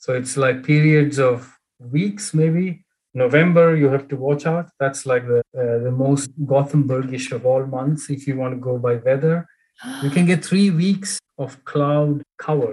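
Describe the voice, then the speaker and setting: A man talks at a fairly high pitch with ordinary pitch variation. His voice is somewhat breathy and his pace fairly slow. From India, Bangalore. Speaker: engineer at a truck maker. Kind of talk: interview. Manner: halting, many fillers.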